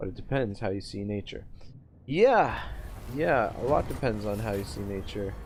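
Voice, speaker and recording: A man's fairly low voice with a Canadian accent carries audible room echo. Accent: Canadian, self-described as harsh. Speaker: gaming streamer. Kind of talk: live-streamed gameplay commentary with chat reading. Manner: casual, halting with many fillers.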